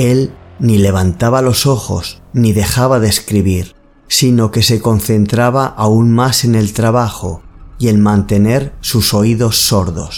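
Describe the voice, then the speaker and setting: A medium-pitched man at a very slow pace, with very even loudness and fairly even intonation. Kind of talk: ghost story narration. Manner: slow, hushed, suspenseful storytelling; measured, eerie, building tension.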